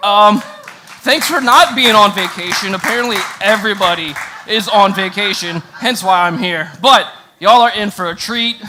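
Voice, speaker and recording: Raising and projecting his voice, a man speaks at a high pitch over noticeable background noise. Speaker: student pastor. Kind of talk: sermon.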